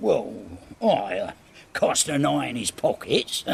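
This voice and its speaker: A man talks at a fairly slow pace in a raspy, put-on character voice. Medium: video game. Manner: crude, cackling.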